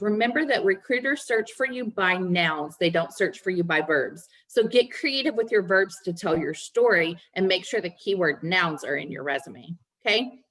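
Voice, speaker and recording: Delivered at a moderate pace, a normal speaking voice carries lively intonation. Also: woman. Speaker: resume writer and career coach. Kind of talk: webinar presentation.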